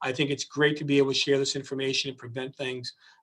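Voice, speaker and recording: Talking at a very fast pace, a man has a medium pitch. His voice sounds somewhat breathy. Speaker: district attorney. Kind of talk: public safety talk.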